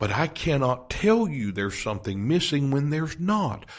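A man's fairly high, somewhat breathy voice with very wide pitch swings, fairly slow pace and a quiet background. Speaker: podcast host and Bible teacher. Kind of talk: podcast sermon teaching. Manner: whispery. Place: home room.

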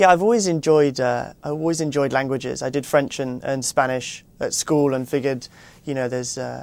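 Speaking at a very fast pace, the man has a British accent. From England, London. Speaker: actor. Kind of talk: interview answer. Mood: polite, friendly. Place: studio. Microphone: lapel.

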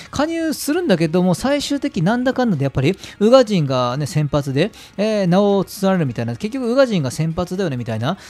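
At a fairly quick pace, a man speaks at a high pitch with very wide pitch swings. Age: 30s. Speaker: football fan channel host. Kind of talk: casual solo commentary.

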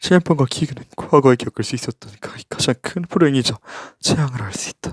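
Somewhat breathy, a man talks at a fairly quick pace with ordinary pitch variation, the sound dry and close with no echo. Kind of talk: ASMR reading of a book report.

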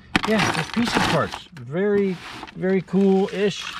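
A woman talks at a very slow pace, her voice dry with no echo, against loud background noise. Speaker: storage unit reseller. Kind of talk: casual vlog commentary. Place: street. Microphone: phone near.

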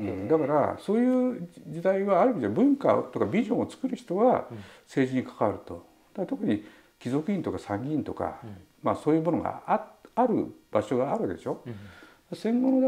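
Vocal fry runs through this man's voice as he talks fairly quickly. His pitch rises and falls across a very wide range. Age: 70s. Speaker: writer and political candidate. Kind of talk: interview answer. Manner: casual, talkative. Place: home room.

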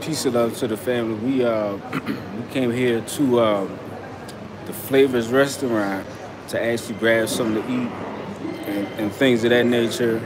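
Clear background noise sits behind a man speaking at a moderate pace. His pitch is medium and his intonation fairly even.

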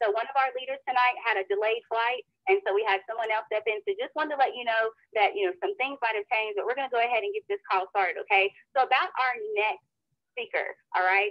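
A fairly high-pitched woman at a very fast pace against a quiet background. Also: lively intonation, dry sound with no echo. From North Carolina. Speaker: co-host. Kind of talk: call hosting. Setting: phone call. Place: home room. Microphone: video call.

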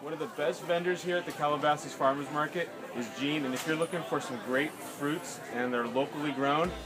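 A man at a fairly quick pace with hardly any pauses and ordinary pitch variation, over noticeable background noise. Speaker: vlogger, health blogger. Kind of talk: casual vlog chat. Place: market. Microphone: phone near.

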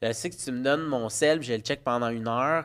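Ordinary pitch variation from a man, set against a quiet background. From Quebec, Laval; Quebec. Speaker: parent guest; guest. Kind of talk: casual chat. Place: studio. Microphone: studio mic.

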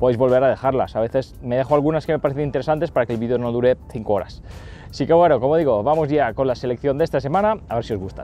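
A man's very fast speech with ordinary pitch variation, a dry sound with no echo, and music in the background. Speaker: fishing channel host. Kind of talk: Q&A vlog answers. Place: waterside. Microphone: lapel.

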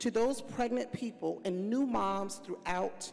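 A woman talks with ordinary pitch variation, moving at a fairly slow pace. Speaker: panel moderator. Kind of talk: panel remarks. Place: stage. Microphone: handheld.

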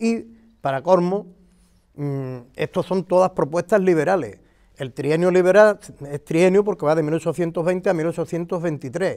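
Against a quiet background, a man with a high pitch speaks at a very slow pace with ordinary pitch variation. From Andalusia. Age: 60s. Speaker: local historian and retired teacher; interviewee. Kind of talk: interview explanation of local history; interview answer. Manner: halting, with many fillers. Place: garden. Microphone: lapel.

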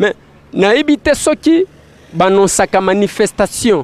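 A man talks at a moderate pace with very wide pitch swings. The sound is dry, with no echo. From DR Congo. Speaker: street reporter. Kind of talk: commentary to camera. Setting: outdoors. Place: street. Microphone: handheld.

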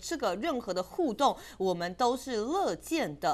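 Her voice is fairly high, and its pitch swings very widely. The woman keeps a moderate pace. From Taiwan. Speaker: Kuomintang city councillor. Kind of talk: panel discussion. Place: studio. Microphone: lapel.

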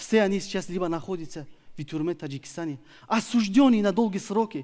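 Over a quiet background, a man with a Tajikistan accent talks at a fairly quick pace in a high pitch with a dark, mellow tone and very wide pitch swings. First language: Tajik (speaking Russian). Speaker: opposition activist; speaker. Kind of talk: prepared speech. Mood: earnest, serious. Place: stage. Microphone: headset.

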